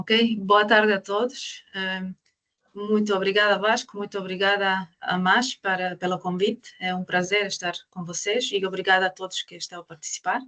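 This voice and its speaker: A woman with a non-native accent speaks at a moderate pace in monotone, flat intonation, with big swings in loudness. The sound is dry and close with no echo. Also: medium pitch for a woman. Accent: foreign accent in Portuguese. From Croatia. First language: Croatian (speaking Portuguese). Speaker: astrophysicist. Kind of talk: online lecture. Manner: halting.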